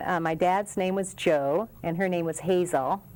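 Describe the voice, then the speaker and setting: A woman with an American accent speaks at a moderate pace in a fairly low pitch, her intonation fairly even, on a very clean recording with a silent background. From Los Angeles area, California. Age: 60s. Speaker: city council member. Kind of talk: interview.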